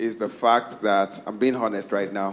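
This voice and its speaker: Fairly slow speech with ordinary pitch variation, over noticeable background noise. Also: man. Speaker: church choir member. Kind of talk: interactive church service sharing.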